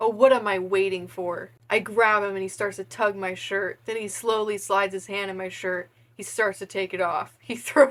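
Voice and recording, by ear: Reading aloud in a natural voice, with fairly even intonation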